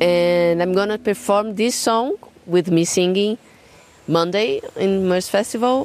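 A woman with a Portuguese accent at a fairly slow pace, her loudness very even, over noticeable background noise. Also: medium pitch for a woman, ordinary pitch variation. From Brazil, São Paulo. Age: 30s. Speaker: jazz drummer and singer. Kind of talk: casual interview. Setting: garden.

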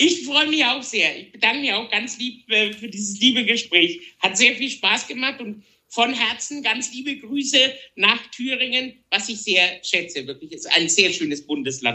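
The man's pitch is extremely high, with lively intonation. His loudness swings a lot. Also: moderate pace. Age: 40s. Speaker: tenor singer. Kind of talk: casual interview. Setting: at home, remote conversation.

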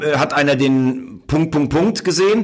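A man speaks with a fairly high pitch. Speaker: sports journalist. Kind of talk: casual interview chat.

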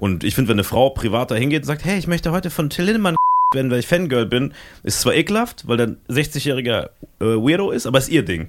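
Speaking at a very fast pace, this voice swings very widely in pitch and shows vocal fry. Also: man, medium pitch for a man. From Germany, Saarland. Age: 20s. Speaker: podcaster and comedy agency founder. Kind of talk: casual chat.

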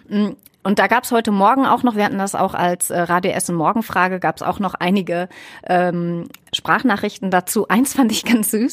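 At a moderate pace, a woman talks at a medium pitch. She has a plain, everyday voice. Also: ordinary pitch variation. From Ruhr area, Germany. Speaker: radio presenter. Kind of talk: casual chat. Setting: studio.

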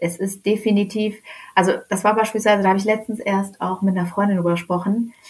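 A woman speaks at a medium pitch. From Germany (Hannover area), born in Tehran. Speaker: Iranian-German activist. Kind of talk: casual interview. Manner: animated, hesitant fillers.

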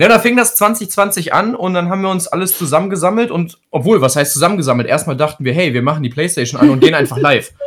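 The man rattles along at a very fast pace, his high voice full of lively intonation. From Krefeld, Lower Rhine, western Germany. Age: 30s. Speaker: Twitch streamer. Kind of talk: casual chat.

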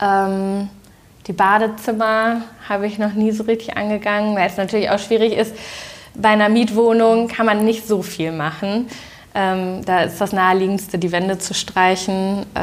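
Speaking at a moderate pace, a woman uses a medium pitch and a monotone, flat intonation. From Germany, Düsseldorf. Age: 30s. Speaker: interior design influencer. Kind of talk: casual interview. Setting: at her home.

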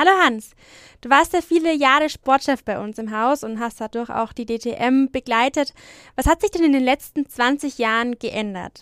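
A woman with a slight Franconian accent speaks at a moderate pace and a high pitch, with ordinary pitch variation and big swings in loudness, in a very clean, dry, close recording with no echo and a silent background. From Franconia, Germany (Franconian Lake District). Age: 20s. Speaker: trainee journalist and podcast host. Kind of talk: news podcast presenting and interviewing.

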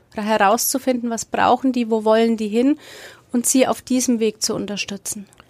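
Against noticeable background noise, a woman speaks at a fairly high pitch with monotone, flat intonation. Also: moderate pace, dry, close sound with no echo. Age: 40s. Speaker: sex therapist. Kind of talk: interview.

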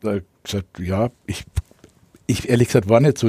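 In a dry, close recording with no echo, a man talks at a moderate pace in a medium pitch, his tone dark and mellow and somewhat breathy. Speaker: radio correspondent. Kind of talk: casual interview storytelling.

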